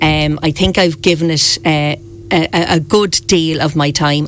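A woman with a southeastern Irish accent speaks in a very deep, low pitch. Noticeable background noise is present. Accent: southeast Irish. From Ireland, Wexford town. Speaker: local politician, town mayor. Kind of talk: radio interview. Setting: radio studio.

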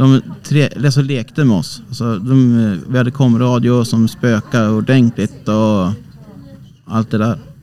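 A man speaks at a fairly slow pace with a medium pitch and fairly even intonation. Noticeable background noise can be heard. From Sweden, Hälsingland (Bollnäs). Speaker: amateur ghost investigator. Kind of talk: casual interview. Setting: small cabin on a cruise ship.

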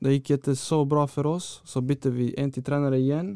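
This man's voice sits fairly high, with a dark, mellow tone and fairly even intonation. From Malmö, southern Sweden. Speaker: professional footballer. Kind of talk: interview. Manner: halting.

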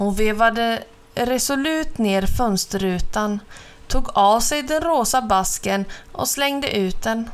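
The speaker has a natural reading voice. Nothing else stands out.

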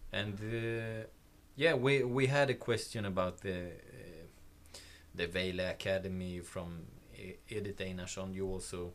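Through audible room echo, a man speaks at a fairly slow pace in a fairly low pitch with ordinary pitch variation. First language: Swedish. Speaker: podcast host. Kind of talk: interview. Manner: halting.

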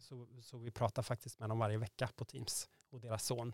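In a dry, close sound with no echo, a man speaks with monotone, flat intonation. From Sweden, Värmland (Degerfors). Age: 40s. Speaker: prospective parent via surrogacy. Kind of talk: interview.

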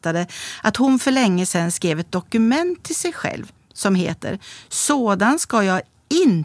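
Someone reads out loud. The voice is natural.

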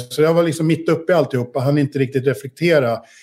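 A man talks at a very fast pace. His fairly high pitch stays fairly even. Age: 50s. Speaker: investor, entrepreneur. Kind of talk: interview.

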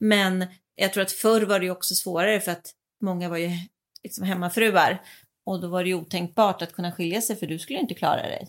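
In a plain, everyday voice, a woman speaks at a fairly quick pace and medium pitch with fairly even intonation, on a very clean recording with a silent background. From Sweden and Italy. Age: 40s. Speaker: mother of the host. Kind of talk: casual chat.

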